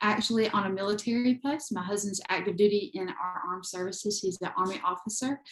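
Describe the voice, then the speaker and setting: At a moderate pace, the speaker talks with a Southern US accent and ordinary pitch variation. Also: woman. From US South, eastern North Carolina. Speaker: photographer and creator, adoptee. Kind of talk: interview.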